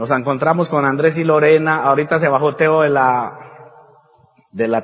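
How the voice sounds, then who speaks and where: This man speaks with fairly even intonation. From Colombia. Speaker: motivational speaker. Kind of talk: motivational talk.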